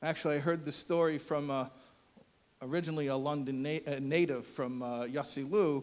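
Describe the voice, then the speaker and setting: An American accent marks this man's voice, fairly high in pitch for a man and fairly quick in pace. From United States. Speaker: rabbi and columnist. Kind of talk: speech. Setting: stage with audience. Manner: animated.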